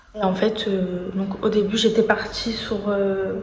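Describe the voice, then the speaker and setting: Audible room echo and noticeable background noise surround a woman's fairly high voice. Her intonation stays monotone and flat. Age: 20s. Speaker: vlogger. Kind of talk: casual vlog monologue. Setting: hospital. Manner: hesitant, many fillers.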